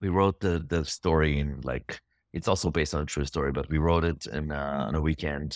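A man with a very deep, low voice talks fairly quickly with fairly even intonation. The sound is dry and close, with no echo, and the recording is very clean over a silent background. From Israel. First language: Hebrew. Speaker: filmmaker. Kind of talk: interview. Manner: halting.

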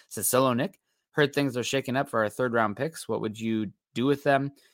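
With an American accent, a man speaks fairly quickly in a medium pitch and a bright, sharp tone, the sound dry and close with no echo on a very clean recording with a silent background. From US Midwest. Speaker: sports podcast host. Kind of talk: solo live-stream sports talk reading chat. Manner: fast; animated.

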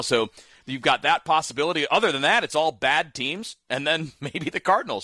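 A man talks in a fairly high voice with a bright, sharp tone. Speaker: radio sports host. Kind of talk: casual sports talk. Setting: studio.

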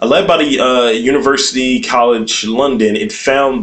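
A man speaks in a medium pitch with ordinary pitch variation. Noticeable background noise runs behind him. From West Baltimore. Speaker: podcast co-host. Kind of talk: casual comedic banter.

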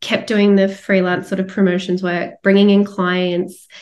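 A woman speaks in an Australian accent at a medium pitch. Her intonation is monotone and flat, and her pace is moderate. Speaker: coach and retreat leader. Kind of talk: podcast interview.

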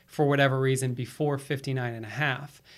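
A man with an American accent speaks at a moderate pace, his pitch fairly high and his intonation fairly even. He has a plain, everyday voice. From Florida, US East Coast. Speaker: financial services executive. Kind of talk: podcast interview.

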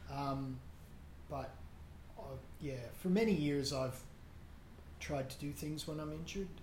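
At a moderate pace, a man with a fairly high pitch and ordinary pitch variation speaks with long, frequent pauses. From Nova Scotia, Canada. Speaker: runner. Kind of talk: casual interview. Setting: home.

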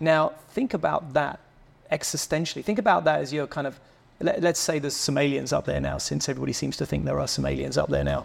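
A man talks at a very fast pace. He has an English accent. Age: 50s. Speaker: motorcycle club founder. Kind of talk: casual chat. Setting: member lounge.

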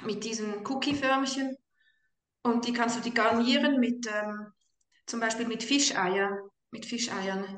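A woman with a Swiss accent speaks fairly slowly in a fairly high pitch, her intonation fairly even. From Switzerland. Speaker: mother on carnivore diet. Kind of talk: casual chat.

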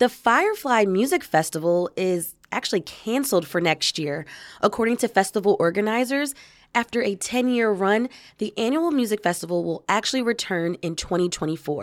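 A woman speaks in a plain, everyday voice at medium pitch and a moderate pace, with lively intonation. The recording is very clean, with a silent background. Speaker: podcast host. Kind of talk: interview. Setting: radio studio.

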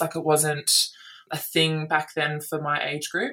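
A woman speaks with an Australian accent at a very deep, low pitch. Her intonation is monotone and flat, and her pace is moderate. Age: 20s. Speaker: basketball player. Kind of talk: casual chat.

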